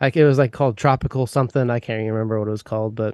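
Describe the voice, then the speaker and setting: A man talks in a Midwestern American accent. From US Midwest. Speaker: pipe smoker and YouTuber. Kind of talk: interview.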